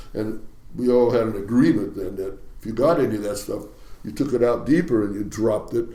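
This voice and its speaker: A man speaks at a medium pitch and a fairly quick pace, with ordinary pitch variation. His tone is dark and mellow, with audible room echo. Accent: American. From US Pacific Northwest, Ballard, Seattle. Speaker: retired fishing captain. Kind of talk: interview storytelling.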